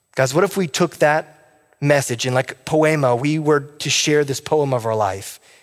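A man speaks in an ordinary speaking voice at a fairly slow pace, his pitch fairly high for a man with ordinary variation and hardly any pauses. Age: 30s. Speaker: pastor. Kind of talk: sermon.

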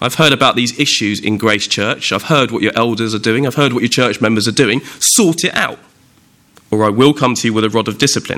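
This man talks at a fairly quick pace. His pitch is medium, with ordinary pitch variation. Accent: southern English. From southern England, Windsor. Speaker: preacher. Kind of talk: sermon.

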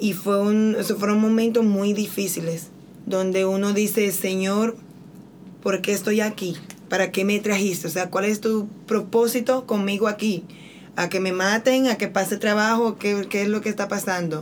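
The speech comes at a fairly slow pace in a monotone, flat intonation. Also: woman, medium pitch for a woman. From Santo Domingo, Dominican Republic. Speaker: missionary. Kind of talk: testimony.

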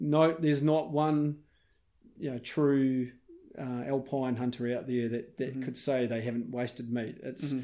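A man with a New Zealand accent speaks at a moderate pace with a medium pitch. His tone is dark and mellow, with fairly even intonation. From New Zealand, South Westland. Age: 40s. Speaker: hunter and filmmaker. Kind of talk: interview. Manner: halting.

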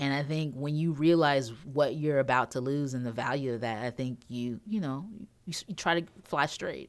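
A woman speaks with a very deep, low pitch and ordinary pitch variation. The recording is very clean, with a silent background. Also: moderate pace. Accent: American. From North Carolina; Greensboro, North Carolina. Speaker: newspaper features reporter. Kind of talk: casual interview chat.

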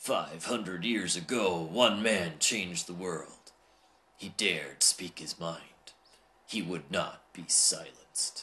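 A man's put-on character voice, very deep and low in pitch, at a fairly slow pace with big swings in loudness. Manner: dramatic.

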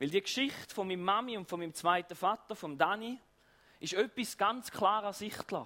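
A man with a high pitch raises and projects his voice at a moderate pace, with ordinary pitch variation. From eastern Switzerland. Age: 30s. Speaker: pastor. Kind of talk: sermon.

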